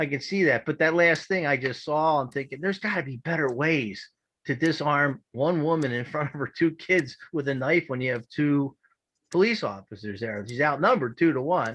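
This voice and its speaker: A man speaks with a Philadelphia accent. His pitch moves in an ordinary way. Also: fairly high pitch for a man, moderate pace. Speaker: public meeting participant. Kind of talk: public comment. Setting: video call.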